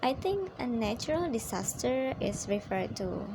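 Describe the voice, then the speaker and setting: Speech from a woman, with audible room echo and noticeable background noise behind it. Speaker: student. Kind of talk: poem analysis. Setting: at home at night.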